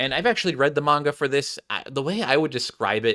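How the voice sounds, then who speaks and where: A man speaks with ordinary pitch variation. His tone is bright and sharp. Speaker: animator and anime YouTuber. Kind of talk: casual vlog commentary. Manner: hesitant, many filler words.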